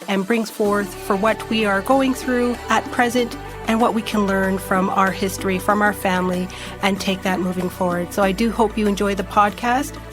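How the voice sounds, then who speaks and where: A woman's pitch varies in an ordinary way as music plays in the background. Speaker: podcast host. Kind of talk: podcast interview.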